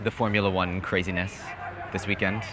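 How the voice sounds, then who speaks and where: Someone speaks at a fairly quick pace with an American accent amid noticeable background noise. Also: man. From Hawaii. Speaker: dating coaching student. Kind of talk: street conversation, approaching a stranger. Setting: outdoors in a city square.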